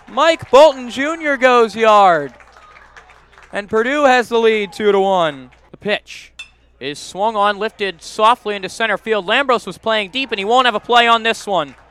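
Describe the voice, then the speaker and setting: A man's high-pitched voice with lively intonation at a fairly slow pace, crowd noise in the background. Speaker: baseball radio announcer. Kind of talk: live baseball play-by-play commentary. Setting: radio broadcast highlights.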